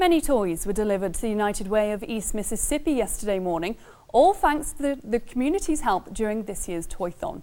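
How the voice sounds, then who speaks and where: A woman with an English accent speaks very fast in a fairly high voice with a dark, mellow tone and very wide pitch swings. The recording is very clean, with a silent background. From England. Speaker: TV news anchor. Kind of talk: news reading; casual chat.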